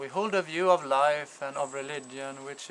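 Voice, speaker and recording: Delivered at a very slow pace, the speech carries a Swedish accent and fairly even intonation. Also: man. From Sweden. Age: 40s. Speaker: father appealing for support. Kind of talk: personal testimony. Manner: halting, many fillers.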